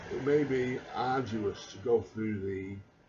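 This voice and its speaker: Against noticeable background noise, the speech moves at a very slow pace with ordinary pitch variation. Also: man. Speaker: vlogger. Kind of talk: casual monologue. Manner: halting. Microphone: quiet recording level.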